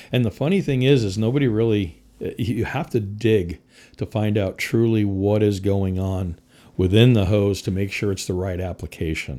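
On a very clean recording with a silent background, a man with an American accent talks at a moderate pace, his fairly low pitch carrying a dark, mellow tone and ordinary pitch variation. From US Northeast, Connecticut. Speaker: firefighter and fire equipment sales manager. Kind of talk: casual interview.

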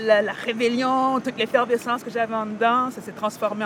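Over noticeable background noise, a woman with a fairly high voice speaks at a fairly quick pace in a monotone, flat delivery. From Montréal-Nord, Quebec. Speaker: rapper. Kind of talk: interview.

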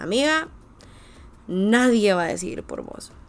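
With audible room echo, a woman speaks at a fairly slow pace in an animated tone with lively intonation. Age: 20s. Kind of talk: devotional monologue.

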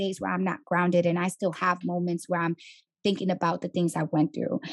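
In a New York accent, a woman talks fairly quickly with vocal fry, the sound dry and close with no echo over a quiet background. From New York City, the Bronx. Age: 20s. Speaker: coaching client, entrepreneur. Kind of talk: interview, personal testimony. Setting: on camera.

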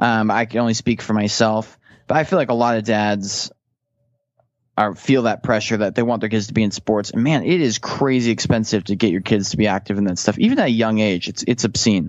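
A normal speaking voice at a fairly quick pace, with ordinary pitch variation. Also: man, fairly low pitch for a man. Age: 30s. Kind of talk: casual chat.

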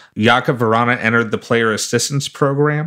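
In a very clean recording with a silent background, a man with an unremarkable speaking voice talks at a moderate pace and medium pitch, his intonation fairly even. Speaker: fantasy hockey podcast co-host. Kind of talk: casual chat.

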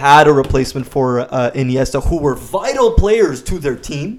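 At a moderate pace, a man speaks in an unremarkable speaking voice. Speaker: football podcast co-host. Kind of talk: casual sports podcast discussion.

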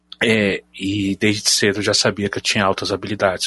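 A man's fairly low voice with a bright, sharp tone at a moderate pace. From Brasília, Brazil. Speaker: podcast supporter and group admin. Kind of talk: casual group chat.

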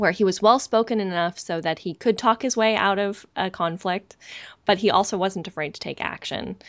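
A woman speaks at medium pitch and a moderate pace, in an ordinary speaking voice. Her pitch varies in an ordinary way. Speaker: podcast host. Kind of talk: casual podcast discussion.

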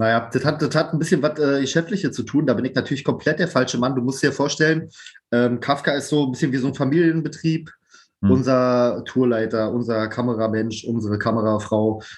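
At a medium pitch, a man talks fairly quickly, with ordinary variation in his pitch. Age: 30s. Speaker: band drummer and educator. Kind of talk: casual chat.

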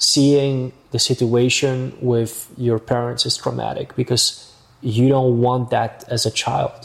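A man's somewhat breathy, medium-pitched voice at a very slow pace. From Amsterdam, Netherlands. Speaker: real estate agent. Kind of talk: casual interview.

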